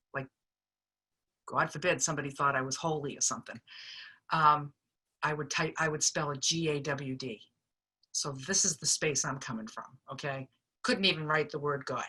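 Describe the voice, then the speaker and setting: With a Boston accent, a woman speaks at a very deep, low pitch in a bright, sharp tone, at a moderate pace with ordinary pitch variation and long, frequent pauses. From Boston, US. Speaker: recovery speaker sharing experience. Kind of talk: personal testimony. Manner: casual, conversational with fillers.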